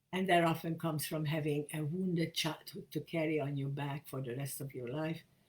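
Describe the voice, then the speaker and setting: Somewhat breathy and very deep, low in pitch, a woman speaks at a fairly quick pace with fairly even intonation and hardly any pauses. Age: 80s+. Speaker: feminist spiritual leader. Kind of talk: talk to camera.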